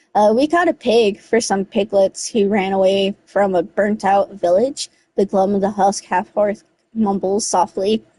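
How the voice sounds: Against a quiet background, the speaker uses a natural reading voice with fairly even intonation.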